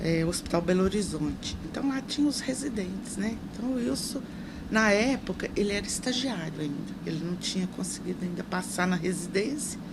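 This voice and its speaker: A woman with a medium pitch speaks with lively intonation. Noticeable background noise and audible room echo surround her voice. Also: moderate pace. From Brazil, Minas Gerais. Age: 60s. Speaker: social assistance secretary and nurse. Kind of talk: interview.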